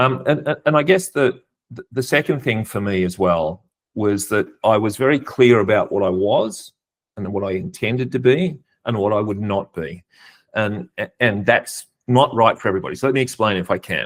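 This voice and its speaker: In a very clean recording with a silent background, a man with a fairly low pitch uses a normal speaking voice, lively intonation and a moderate pace. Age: 60s. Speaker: executive coach and nonprofit leader. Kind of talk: podcast interview.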